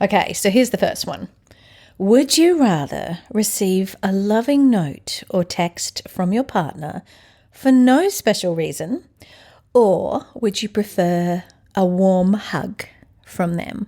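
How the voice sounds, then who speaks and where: Speaking at a very slow pace, a woman has a dark, mellow tone and medium pitch. Her intonation is lively, and the recording is very clean with a silent background. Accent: Australian. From Australia. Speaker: podcast host. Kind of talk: casual chat with husband.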